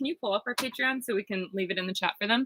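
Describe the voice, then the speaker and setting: A loud woman's voice, bright and sharp, medium in pitch, at a very fast pace. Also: dry, close sound with no echo. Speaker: vlogger living in a bus. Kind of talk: live stream Q&A. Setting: inside a bus.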